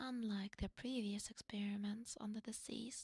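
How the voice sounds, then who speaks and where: The recording of this woman is dry and close, with no echo. Her voice sits at a medium pitch and is somewhat breathy. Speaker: vtuber streamer. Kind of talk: casual talk to camera.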